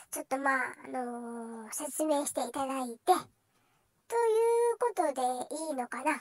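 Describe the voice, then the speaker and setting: Someone in a put-on character voice speaks at a moderate pace with long, frequent pauses. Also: female-sounding voice, high pitch for a woman. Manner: hesitant, flustered.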